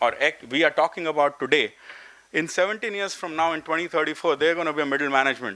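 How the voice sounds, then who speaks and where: The speech comes at a very fast pace with a bright, sharp tone. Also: man. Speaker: professor at an education summit. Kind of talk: conference talk.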